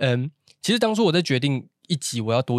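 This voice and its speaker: A man with a Taichung accent talks at a very fast pace in a medium pitch, the sound dry and close with no echo. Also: very clean recording, silent background. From Taiwan, Taichung. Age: 20s. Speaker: podcast host. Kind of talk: casual chat.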